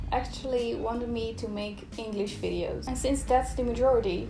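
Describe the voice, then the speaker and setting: A woman is heard with audible room echo. Noticeable background noise runs behind her. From Netherlands. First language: Dutch. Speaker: illustrator and YouTuber. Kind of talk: casual chat while drawing.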